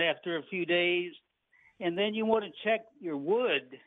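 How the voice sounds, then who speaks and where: With an American accent, a high-pitched man speaks at a fairly slow pace and fairly even intonation. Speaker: tree nursery owner and arborist. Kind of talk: interview answering host questions.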